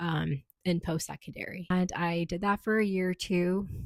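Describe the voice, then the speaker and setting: A woman at medium pitch and moderate pace, with fairly even intonation and a dry, close sound with no echo. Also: very clean recording, silent background. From Canada. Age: 20s. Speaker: student and doula. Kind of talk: casual vlog monologue. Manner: hesitant, many fillers.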